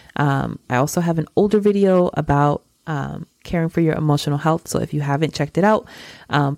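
With an American accent, a woman speaks at a fairly quick pace in an animated tone with ordinary pitch variation, on a very clean recording with a silent background and a dry, close sound with no echo. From New York City. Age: 30s. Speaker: podcast host. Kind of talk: solo podcast monologue.

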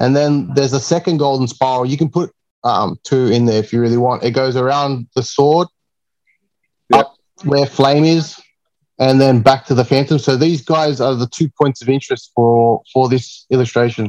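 A man with an Australian accent speaks at a moderate pace and medium pitch. His intonation is fairly even, and the sound is dry and close with no echo. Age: 30s. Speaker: comic cover artist. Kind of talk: casual chat.

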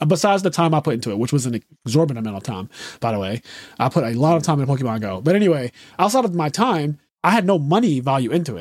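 Speaking at a very fast pace with a Philadelphia accent, a man uses a fairly high pitch and very wide pitch swings. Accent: Philadelphia American English. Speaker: podcast host. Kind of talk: casual chat. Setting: video call. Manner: animated.

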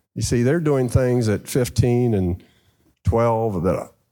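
A man at medium pitch talks at a very slow pace with lively intonation, in a very clean recording with a silent background. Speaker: car dealer. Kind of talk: live panel conversation. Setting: stage with audience. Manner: animated.

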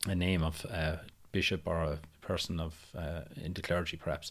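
A man talks in a Tipperary accent with a very deep, low pitch. His pace is fairly slow. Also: very clean recording, silent background. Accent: Irish (Tipperary). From Ireland, County Tipperary. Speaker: podcast co-host and tour guide. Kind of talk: casual chat.

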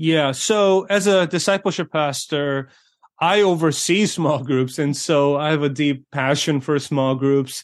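Against a quiet background, a man with a plain, everyday voice talks at a fairly slow pace and a fairly high pitch, keeping very even loudness and ordinary pitch variation. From born in South Korea, raised in US. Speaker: pastor and author. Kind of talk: interview. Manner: filler-heavy, with frequent ums and uhs.

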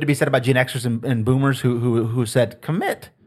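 A man talks at a fairly quick pace in a somewhat breathy voice. The recording is very clean, with a silent background. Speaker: podcast host. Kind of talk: casual chat.

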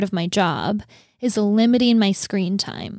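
An unremarkable speaking voice from a woman, fairly high in pitch with ordinary variation, comes at a fairly slow pace on a very clean recording with a silent background and a dry, close sound with no echo. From North Dakota, US. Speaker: podcast co-host. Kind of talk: casual chat. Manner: chatty, laughs often.

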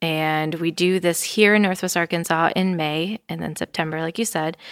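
An unremarkable speaking voice from a woman with an American accent, fairly low in pitch and fairly even in intonation, dry and close with no echo, in a very clean recording over a silent background. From Wisconsin. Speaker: nonprofit cycling organization staffer. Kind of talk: casual interview. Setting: studio.

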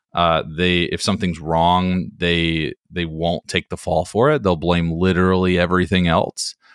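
A man with a very deep, low voice and an American accent. He speaks at a moderate pace with fairly even intonation. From North Carolina (Hickory). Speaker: entrepreneur and real estate investor. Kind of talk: interview.

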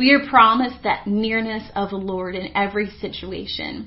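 A woman with an ordinary speaking voice talks at a moderate pace, with a fairly high pitch and fairly even intonation. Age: 20s. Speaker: pastor. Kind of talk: sermon.

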